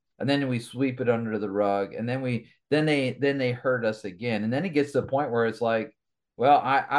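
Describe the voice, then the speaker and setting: A man with an American accent speaks at a fairly quick pace with ordinary pitch variation, in a very clean recording with a silent background. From Michigan, Kalamazoo area. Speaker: evangelist and ministry executive. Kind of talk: interview conversation.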